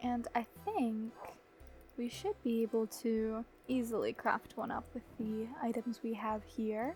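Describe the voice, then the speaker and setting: A woman speaks at a high pitch and a fairly slow pace, with music playing in the background. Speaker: gaming YouTuber. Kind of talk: gameplay commentary. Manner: casual, playful.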